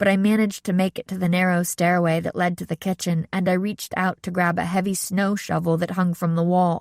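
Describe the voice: What's heard is plain reading aloud.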